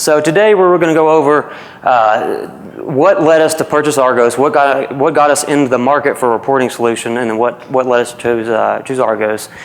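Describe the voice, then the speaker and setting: With a Southern US accent, a man speaks at a fairly high pitch with ordinary pitch variation, with audible room echo and noticeable background noise. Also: fairly quick pace. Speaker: university programmer analyst. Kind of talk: conference presentation. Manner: casual, with frequent fillers.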